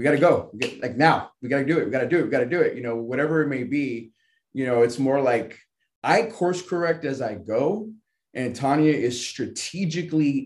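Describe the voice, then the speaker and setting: A man's fairly high voice at a moderate pace, with ordinary pitch variation and a plain, everyday voice. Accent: American. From Southern California. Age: 30s. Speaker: financial services agent, bodybuilder. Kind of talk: casual interview.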